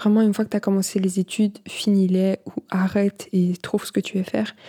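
On a very clean recording with a silent background, a woman speaks at a fairly slow pace in a somewhat breathy, medium-pitched voice. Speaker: podcast host. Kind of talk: casual monologue. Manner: hesitant, many fillers.

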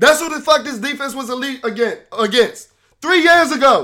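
A man speaks in a raised, projected voice at an extremely high pitch, his tone bright and sharp and his intonation lively, in a very clean recording with a silent background. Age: 20s. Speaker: sports podcast host. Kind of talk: rant. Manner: animated.

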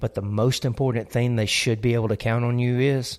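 On a very clean recording with a silent background, a man with a Southern US accent speaks at a moderate pace and medium pitch with fairly even intonation. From US South. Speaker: pastor. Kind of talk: casual chat.

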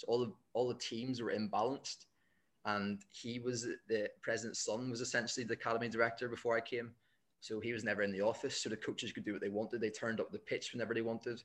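A man with a Northern Irish accent talks at a very fast pace in a medium pitch. His intonation is monotone and flat, on a very clean recording with a silent background. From Northern Ireland. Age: 20s. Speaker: football coach. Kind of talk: casual interview.

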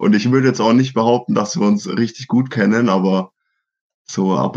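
Here a man with a plain, everyday voice talks at a moderate pace with fairly even intonation. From Germany, Franconia (Schweinfurt). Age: 20s. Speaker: professional triathlete. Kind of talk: casual interview.

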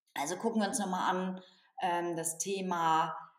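An unremarkable speaking voice with ordinary pitch variation. The delivery is fairly slow. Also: woman. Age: 40s. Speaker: organisational consultant and author. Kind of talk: interview.

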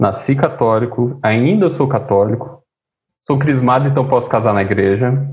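A man's somewhat breathy voice at medium pitch, moderate pace, very even loudness and ordinary pitch variation. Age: 30s. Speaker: political scientist and musician. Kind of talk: casual interview.

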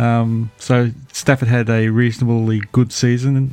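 A man speaks in a dark, mellow tone at a medium pitch, with an Australian accent. His intonation is monotone and flat, and the background is quiet. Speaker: podcast guest, NFL fan. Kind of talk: casual chat. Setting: remote call from Australia, early morning. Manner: halting, many fillers.

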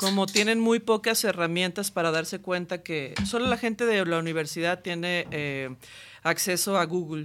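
At a fairly slow pace, a woman with a fairly low pitch and a normal speaking voice talks with ordinary pitch variation in a very clean recording with a silent background. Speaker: band singer. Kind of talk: casual chat.

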